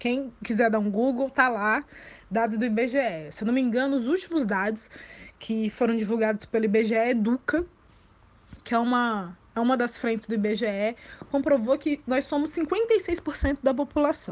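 A woman at a high pitch, fairly slow, with ordinary pitch variation. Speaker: journalist and law doctoral student. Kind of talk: interview.

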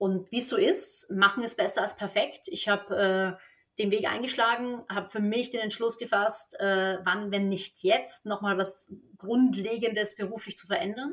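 In a very clean recording with a silent background, a woman with an ordinary speaking voice and fairly high pitch talks at a moderate pace, her loudness swinging widely. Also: fairly even intonation. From Austria, Vienna. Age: 30s. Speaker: tennis coach. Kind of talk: podcast interview.

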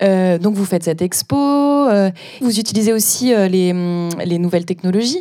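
A woman uses an ordinary speaking voice at a medium pitch and moderate pace. Her pitch varies in an ordinary way, and her loudness stays very even. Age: 20s. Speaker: podcast host, children's librarian. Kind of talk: interview.

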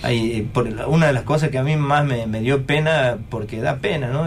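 Against noticeable background noise and audible room echo, a man of medium pitch talks at a moderate pace with ordinary pitch variation. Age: 50s. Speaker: museum collection technician. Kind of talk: radio interview. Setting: radio studio. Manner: halting.

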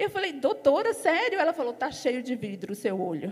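Speech in an animated tone comes at a moderate pace over noticeable background noise. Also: woman. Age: 40s. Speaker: church member giving an offering exhortation. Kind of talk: sermon.

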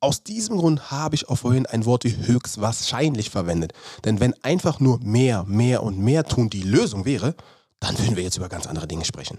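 A man of medium pitch with a dark, mellow tone, somewhat breathy, lively in intonation at a moderate pace, on a very clean recording with a silent background. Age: 30s. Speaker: podcast host, former pro footballer and performance coach. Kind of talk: solo podcast monologue.

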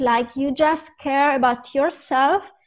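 In an Italian accent, a woman speaks at a high pitch. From Italy. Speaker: vegan influencer and food writer. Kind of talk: interview. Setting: video call.

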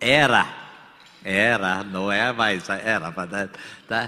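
A man speaks over noticeable background noise. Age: 60s. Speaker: business executive. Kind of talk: on-stage interview. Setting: stage with audience.

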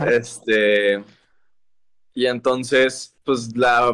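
His tone is bright and sharp, a man's voice at medium pitch with fairly even intonation. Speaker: singer-songwriter. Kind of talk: casual interview.

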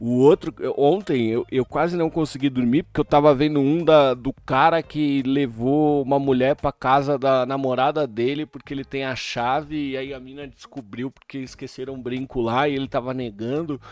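The speech moves at a moderate pace with fairly even intonation. There are hardly any pauses, and the sound is dry and close with no echo. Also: man, fairly high pitch for a man, big swings in loudness. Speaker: podcast host. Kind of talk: casual chat.

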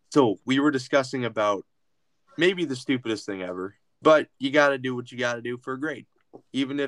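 A man talks at a fairly quick pace, his pitch medium and its variation ordinary. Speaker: podcast host. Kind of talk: casual chat. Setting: video call. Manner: animated.

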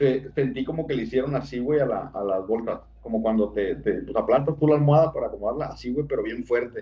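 At a fairly quick tempo, this man talks in a medium, somewhat breathy voice. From Sinaloa, Mexico. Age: 30s. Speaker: storyteller of personal paranormal experiences. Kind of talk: casual storytelling.

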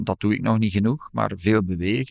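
In a very clean, dry, close recording with no echo and a silent background, a man speaks at a fairly low pitch with ordinary pitch variation. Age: 50s. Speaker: law professor and lawyer. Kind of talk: personal testimony interview.

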